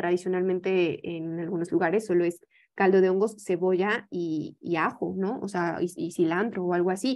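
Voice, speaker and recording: A woman talks at a moderate pace in a Mexican accent, her pitch medium and her intonation fairly even. She hardly pauses, and the background is quiet. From Mexico. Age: young. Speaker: yoga teacher and holistic health advisor; presenter. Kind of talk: lecture. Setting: video call. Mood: calm, friendly explaining. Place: home room. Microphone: video call.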